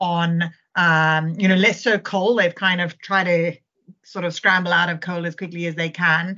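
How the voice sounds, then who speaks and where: A woman with a South African accent speaks at a medium pitch with fairly even intonation. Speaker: fund manager. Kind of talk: casual chat.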